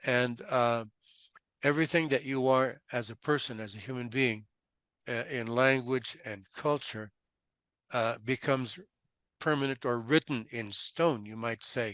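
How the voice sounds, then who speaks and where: Over a quiet background, a man with a Californian accent speaks at a fairly slow pace and medium pitch, using fairly even intonation, long, frequent pauses and big swings in loudness. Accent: Californian American English. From US West Coast, Los Angeles. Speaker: financial translator. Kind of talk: casual interview.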